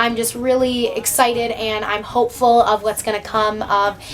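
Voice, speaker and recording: Against noticeable background noise, a woman speaks in an animated tone at a fairly high pitch. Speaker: vlogger. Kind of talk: casual vlog talk to camera. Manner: fast.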